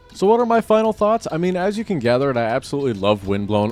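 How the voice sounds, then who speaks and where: Speaking very fast with lively intonation, a man is heard over noticeable background noise. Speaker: gaming YouTuber. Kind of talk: video commentary outro. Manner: unscripted, self-described stammering; halting, many fillers.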